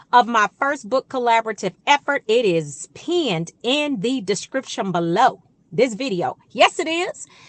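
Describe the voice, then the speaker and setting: In a high, bright, sharp voice with an American accent, a woman speaks animatedly at a fairly slow pace, her pitch swinging very widely. The sound is dry and close with no echo, against a quiet background. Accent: Georgia accent, coming out. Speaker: relationship coach and YouTuber. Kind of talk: casual direct-to-camera talk.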